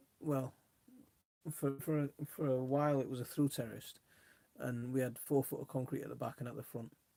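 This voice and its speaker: In a put-on character voice, a man mumbles at a fairly quick pace and medium pitch, broken by long, frequent pauses. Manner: mumbling.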